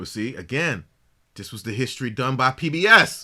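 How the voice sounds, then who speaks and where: A man speaks at a moderate pace with a bright, sharp tone and fairly high pitch. The recording is very clean, with a silent background. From Caribbean. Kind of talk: casual religious discussion. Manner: animated.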